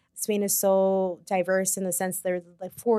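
A woman in an American accent with an ordinary speaking voice, medium pitch and moderate pace, heard dry and close with no echo. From New York City. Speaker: yoga and meditation teacher, retreat co-founder. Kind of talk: casual chat.

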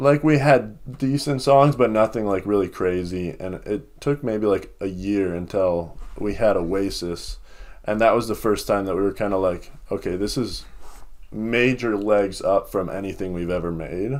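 A man speaks with an American accent, a normal speaking voice and a fairly low pitch with ordinary pitch variation. His moderate pace comes through in a very clean recording with a silent background. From Minnesota (Lakeville). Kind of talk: casual interview.

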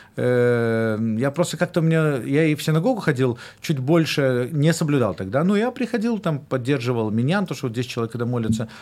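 Over a silent background in a very clean recording, a man at a medium pitch talks at a moderate pace with lively intonation. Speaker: rabbi and musician. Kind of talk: casual chat. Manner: halting.

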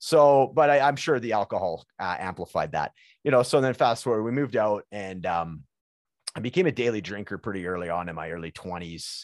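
A man with a Canadian accent and medium pitch talks at a fairly quick pace against a quiet background. His pitch swings very widely and his loudness shifts a lot. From Prince George, British Columbia, Canada. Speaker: podcast host and guest. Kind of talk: casual chat. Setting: video call.

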